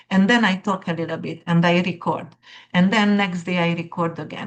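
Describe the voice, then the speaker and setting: A woman with a fairly low, somewhat breathy voice speaks at a moderate pace in a monotone, flat intonation. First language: not English. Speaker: astrologer. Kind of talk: casual monologue to viewers. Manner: halting, many fillers.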